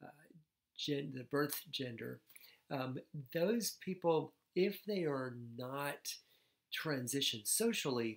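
A man with a fairly high pitch for a man speaks at a very slow pace, with lively intonation and long, frequent pauses, against a quiet background. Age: 60s. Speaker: psychiatrist; personal storyteller. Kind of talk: vlog monologue. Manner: halting, many fillers. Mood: warm, animated, smiling. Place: home room.

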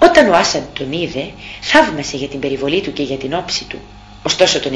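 A woman speaks in a dramatic tone with very wide pitch swings. Noticeable background noise runs underneath. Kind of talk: audiobook narration, reading a classic tale aloud. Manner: measured, storyteller's pace with a dramatic, expressive tone.

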